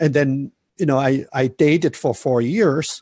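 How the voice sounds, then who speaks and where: A man speaks with a German accent and ordinary pitch variation. His tone is dark and mellow, and somewhat breathy. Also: dry, close sound with no echo. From Germany. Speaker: relationship coach. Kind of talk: interview.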